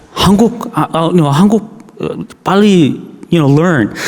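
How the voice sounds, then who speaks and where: With lively intonation, a man talks as noticeable background noise carries on around him. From Canada. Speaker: pastor. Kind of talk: sermon. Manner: halting.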